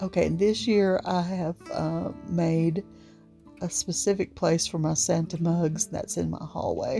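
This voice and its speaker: A woman speaks in a fairly low voice with an Appalachian accent and fairly even intonation. Music plays in the background. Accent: Appalachian drawl. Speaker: home decor and thrift vlogger. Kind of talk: casual talk to camera. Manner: chatty, warm.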